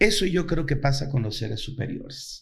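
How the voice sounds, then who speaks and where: A man is speaking. His intonation is lively. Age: 60s. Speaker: actor and playwright. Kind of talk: interview conversation.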